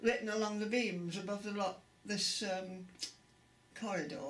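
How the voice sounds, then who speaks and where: With an East Midlands accent, a woman speaks over noticeable background noise in a room with audible echo. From England, Derby area. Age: 80s+. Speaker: interviewee. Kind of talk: oral history interview.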